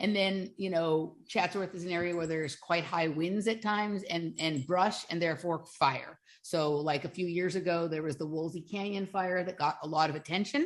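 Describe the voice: Her pitch shifts in an ordinary way as the woman talks at a moderate pace. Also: fairly low pitch for a woman.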